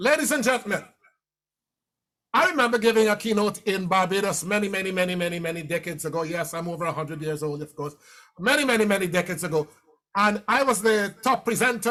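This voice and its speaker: A man's raised, projected voice, high-pitched and very fast, with lively intonation. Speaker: motivational speaker. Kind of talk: keynote speech. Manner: animated.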